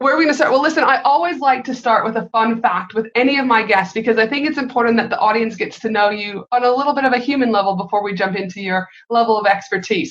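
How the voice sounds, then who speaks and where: A woman with a fairly high pitch speaks at a very fast pace in an animated tone, her pitch varying in an ordinary way. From not Australia. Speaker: podcast host. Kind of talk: podcast interview.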